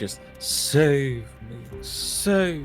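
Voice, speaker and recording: A man's breathy, put-on character voice over clear music in the background. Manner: coquettish, flirty.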